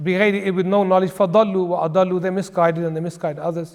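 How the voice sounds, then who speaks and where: A man with an English accent and a high pitch, fairly quick in pace and flat, monotone in intonation. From England. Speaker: Islamic scholar. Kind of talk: religious lecture. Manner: conversational.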